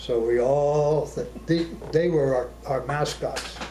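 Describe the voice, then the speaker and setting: A man talks over noticeable background noise. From Arizona. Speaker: war veteran. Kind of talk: interview answer.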